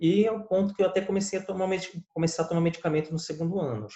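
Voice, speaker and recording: A man at a very fast pace. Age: 20s. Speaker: lawyer. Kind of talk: interview.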